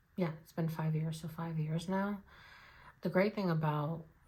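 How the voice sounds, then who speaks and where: This woman's voice is very deep and low, dark and mellow, somewhat breathy, and delivered in a flat monotone. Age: 20s. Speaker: budgeting vlogger. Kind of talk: casual chat.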